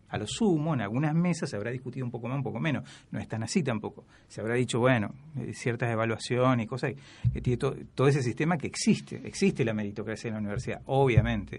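Over a quiet background, a man at medium pitch talks at a very fast pace with lively intonation. Vocal fry runs through his voice. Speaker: history lecturer. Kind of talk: casual chat. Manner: halting.

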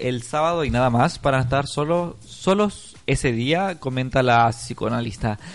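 Lively intonation in a Chilean accent. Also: man. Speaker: online radio host. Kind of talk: casual chat.

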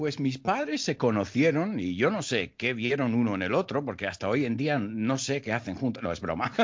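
Barely pausing, a man with a medium pitch keeps a moderate pace with lively intonation. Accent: American. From United States. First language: English (speaking Spanish). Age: 40s. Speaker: English teacher. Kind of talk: casual interview.

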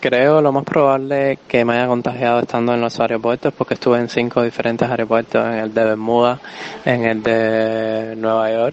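Noticeable background noise under a man's medium-pitched speech at a moderate pace. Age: 20s. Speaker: hospitalized COVID-19 patient. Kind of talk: interview.

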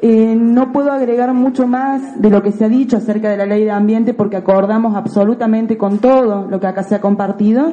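Against noticeable background noise, a woman with a fairly high pitch talks at a fairly quick pace with fairly even intonation and hardly any pauses. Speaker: teacher and community activist. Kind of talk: public testimony at legislative hearing. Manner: emphatic.

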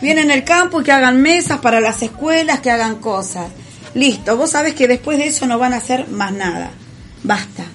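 With a Rioplatense accent, a woman speaks at a high pitch and moderate pace with lively intonation amid noticeable background noise. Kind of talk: casual chat.

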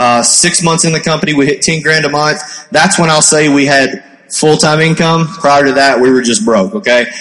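A man with a strong Kentucky accent talks at a moderate pace and a fairly high pitch with ordinary pitch variation, over noticeable background noise. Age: 20s. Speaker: network marketing entrepreneur. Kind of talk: panel discussion on stage. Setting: stage with audience.

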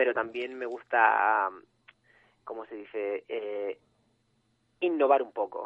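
A man speaks at a very slow pace. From Canary Islands. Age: 20s. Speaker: photographer. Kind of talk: interview.

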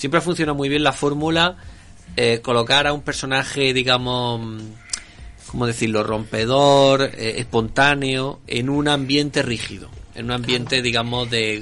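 This man has an unremarkable speaking voice at a medium pitch, talking at a moderate pace with fairly even intonation. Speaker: podcast co-host. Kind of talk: casual chat.

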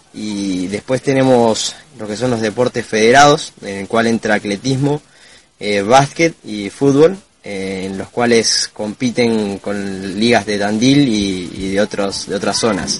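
A man with a normal speaking voice, fairly low pitch, ordinary pitch variation, big swings in loudness, and a fairly slow pace. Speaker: veterinary student. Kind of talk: interview.

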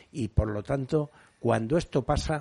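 Over a quiet background, a man with a dark, mellow tone talks fairly slowly with ordinary pitch variation. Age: old. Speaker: radio panelist. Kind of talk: radio talk show panel discussion.

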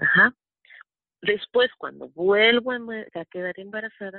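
A woman with an ordinary speaking voice talks at a fairly slow pace with ordinary pitch variation. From Mexico City. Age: 40s. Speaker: network marketing distributor. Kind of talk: testimony and sales pitch. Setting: phone call.

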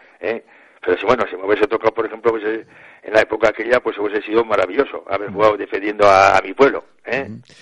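A man speaks at a very fast pace in a fairly low pitch, with a monotone, flat intonation. His loudness swings widely, and the sound is dry and close with no echo. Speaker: retired pelota player. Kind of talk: radio interview.

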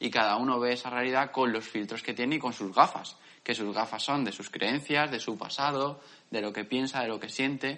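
Fairly even intonation accompanies a bright, sharp tone. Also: man. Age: 20s. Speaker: podcast co-host. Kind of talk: casual chat.

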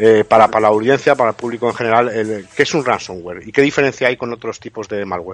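At a medium pitch, a man speaks with fairly even intonation in an unremarkable speaking voice. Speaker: radio co-host, cybersecurity specialist. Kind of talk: radio talk show.

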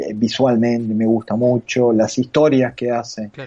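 Dark, mellow male voice in a Rioplatense accent. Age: 30s. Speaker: comics artist and illustrator. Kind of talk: casual chat.

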